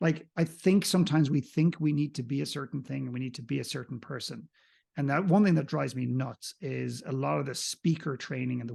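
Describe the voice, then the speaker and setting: A man with a slight Irish accent and vocal fry, ordinary pitch variation, and a quiet background. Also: big swings in loudness. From Ireland. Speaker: coach and mentor. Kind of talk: podcast interview.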